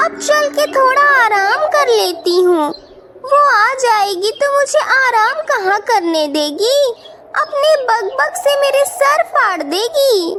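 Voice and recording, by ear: A cartoonish character voice, female-sounding and extremely high in pitch, at a very slow pace amid loud background noise.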